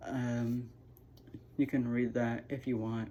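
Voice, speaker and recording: The woman's pitch is very deep and low, with a dark, mellow tone. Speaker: YouTuber sharing personal story. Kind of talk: personal testimony vlog. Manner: halting, many fillers.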